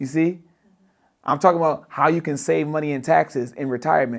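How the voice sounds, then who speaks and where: Recorded very cleanly over a silent background, a man speaks with a fairly high pitch and fairly even intonation. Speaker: financial educator. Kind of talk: livestream lecture. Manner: fast.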